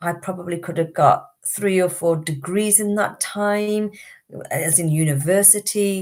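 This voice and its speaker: With a British accent, a woman speaks at a fairly slow pace. Her pitch is fairly low, with ordinary variation. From Britain, Indian background. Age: 50s. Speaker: wellbeing teacher and healer. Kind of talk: live stream talk.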